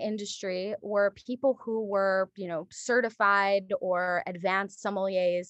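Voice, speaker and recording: In a plain, everyday voice, a woman speaks at a fairly slow pace and a medium pitch. The sound is dry and close with no echo, over a quiet background. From Japan, moved to the United States in first grade. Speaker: sommelier and wine educator. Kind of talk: casual interview chat.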